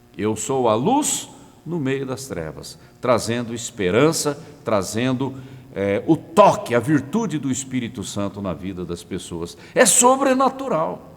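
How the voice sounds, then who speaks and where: Amid audible room echo, a man at medium pitch talks at a fairly slow pace, with very wide pitch swings and big swings in loudness. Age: 60s. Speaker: pastor. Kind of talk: sermon. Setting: online broadcast.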